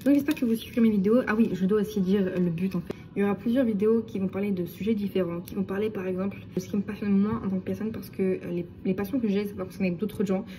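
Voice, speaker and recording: A woman speaks at a very fast pace. There are hardly any pauses. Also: medium pitch for a woman, ordinary pitch variation. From France. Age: 20s. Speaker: vlogger. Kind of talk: casual vlog monologue.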